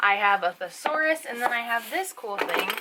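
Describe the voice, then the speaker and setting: A woman with a fairly high voice talks fairly quickly while noticeable noise fills the background. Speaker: booktuber. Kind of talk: casual vlog. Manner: fast; animated.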